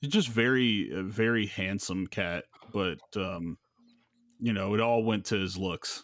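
A man with an American accent speaks in an ordinary speaking voice, fairly low in pitch with ordinary pitch variation, at a fairly slow pace. The recording is very clean, with a silent background. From Los Angeles, South Central. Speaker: podcast host. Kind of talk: casual chat.

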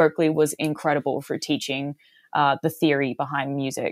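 At a moderate pace, a woman talks in an Australian accent. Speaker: singer. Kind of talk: casual interview. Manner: animated.

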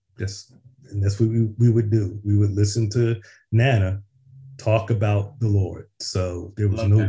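On a very clean recording with a silent background, a man speaks in a dark, mellow, somewhat breathy tone with monotone, flat intonation. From US Northeast, West Philadelphia. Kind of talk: casual chat.

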